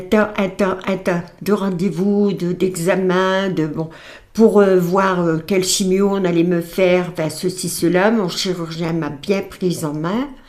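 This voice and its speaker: A woman's medium-pitched voice, very slow pace, fairly even intonation. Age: 80s+. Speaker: cancer survivor, grandmother of host. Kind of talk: testimony. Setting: podcast interview. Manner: halting.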